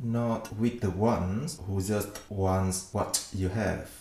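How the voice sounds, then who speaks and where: A man speaks very slowly in a Vietnamese accent at a fairly low pitch. Noticeable background noise is present. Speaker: podcast host. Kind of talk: book summary narration.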